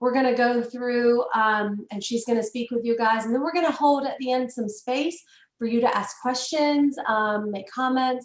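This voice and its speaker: A woman speaks in a high voice with fairly even intonation. She leaves hardly any pauses. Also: moderate pace. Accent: Southern US. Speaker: webinar host. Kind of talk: event introduction.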